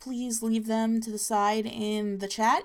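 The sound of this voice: Reading aloud in an unforced voice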